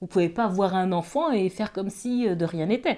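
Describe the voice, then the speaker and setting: Lively intonation and a dark, mellow tone on a very clean recording with a silent background. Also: woman. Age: 40s. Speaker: author and activist. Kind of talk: interview testimony. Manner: hesitant, many fillers.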